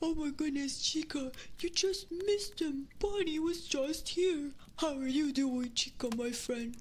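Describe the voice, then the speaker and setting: A woman's put-on character voice, high in pitch and at a fairly slow pace, with clear background noise. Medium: virtual streamer. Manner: warm, friendly.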